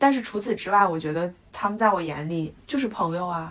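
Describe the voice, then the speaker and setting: An ordinary speaking voice from a woman at medium pitch, with lively intonation and a moderate pace. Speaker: podcast co-host, designer. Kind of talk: casual chat.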